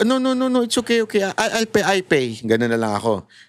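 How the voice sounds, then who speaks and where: A high-pitched man speaks in an animated tone at a fairly quick pace. His pitch swings very widely. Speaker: political commentator. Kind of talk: political commentary vlog.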